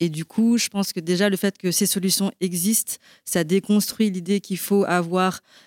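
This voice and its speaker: Recorded very cleanly with a silent background and a dry, close sound with no echo, a woman speaks at medium pitch and a moderate pace with monotone, flat intonation. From Belgium. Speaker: marketing director at a sustainable investment platform. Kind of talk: panel discussion. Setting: live event with audience.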